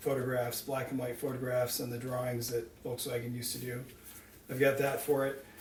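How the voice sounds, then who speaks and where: Monotone, flat delivery at a moderate pace, with audible room echo and noticeable background noise. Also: man. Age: 60s. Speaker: car owner telling personal story. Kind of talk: personal storytelling. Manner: casual, with hesitations.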